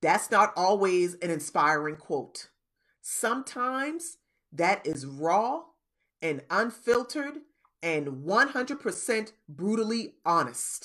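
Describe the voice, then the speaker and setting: With an American accent, a woman speaks at a medium pitch and a very slow pace. Her pitch swings very widely. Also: quiet background. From US South, Charleston, South Carolina. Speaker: podcast host. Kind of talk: motivational talk. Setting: Facebook live recording.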